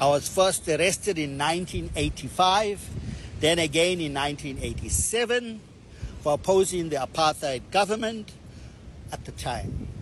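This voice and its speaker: Against noticeable background noise, a man with a fairly high pitch speaks at a moderate pace with lively intonation. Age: 60s. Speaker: political activist. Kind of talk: public statement. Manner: formal.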